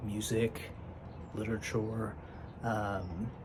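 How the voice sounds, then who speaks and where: Through noticeable background noise and audible room echo, a man speaks at a very slow pace. His fairly low voice is monotone and flat. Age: 20s. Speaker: vlogger. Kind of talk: casual monologue. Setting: at desk, self-recording. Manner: hesitant, many fillers.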